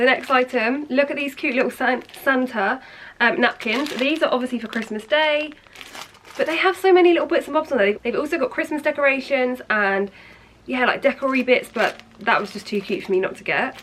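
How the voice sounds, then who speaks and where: A woman's animated, high-pitched voice with an English accent, ordinary pitch variation and a fairly quick pace, over noticeable background noise. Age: 20s. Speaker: lifestyle vlogger. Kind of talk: product haul video. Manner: chatty, animated.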